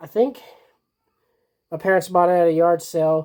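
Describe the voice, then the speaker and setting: A woman's fairly low voice, very slow in pace, with fairly even intonation. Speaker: collector showing DVD collection. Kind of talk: casual collection video. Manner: halting, many fillers.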